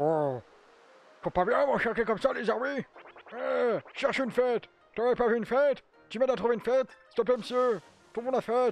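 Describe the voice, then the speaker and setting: With music in the background, a man with an extremely high voice talks at a fairly quick pace, broken by long, frequent pauses. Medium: fan dub. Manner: pleading, then cocky.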